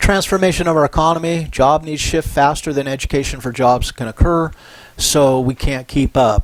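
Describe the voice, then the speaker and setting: A man speaks in a normal speaking voice at a moderate pace with ordinary pitch variation. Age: 60s. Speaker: professor. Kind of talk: lecture. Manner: casual, conversational.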